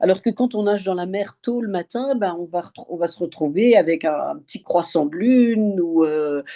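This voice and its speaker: The voice has a dark, mellow tone, lively intonation and big swings in loudness, moving at a moderate pace. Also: woman, medium pitch for a woman, hardly any pauses. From France, Alsace. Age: 70s. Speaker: open-water swimmer. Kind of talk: interview. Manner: halting, many fillers.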